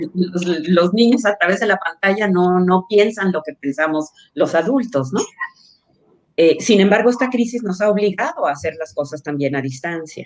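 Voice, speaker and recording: In a normal speaking voice, a woman talks at a medium pitch and a moderate pace with lively intonation. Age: 60s. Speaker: social entrepreneur, childcare company cofounder. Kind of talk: interview.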